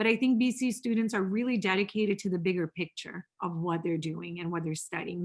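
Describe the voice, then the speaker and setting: In a Portuguese accent, a woman talks at a medium pitch and a fairly quick pace. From Brazil, São Paulo. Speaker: professor. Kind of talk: interview.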